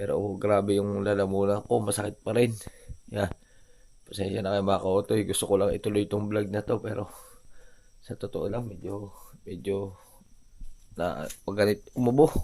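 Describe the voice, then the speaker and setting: With a dark, mellow tone and a fairly low pitch, a man talks at a moderate pace with fairly even intonation and long, frequent pauses. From Batangas, Philippines. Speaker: vlogger. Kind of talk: casual vlog narration. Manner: strained, halting.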